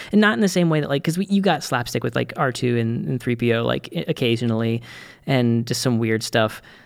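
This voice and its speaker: In an American accent, a man with an unremarkable speaking voice talks fairly quickly at a medium pitch, with lively intonation. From Boston, US. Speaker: podcast co-host. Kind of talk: casual chat.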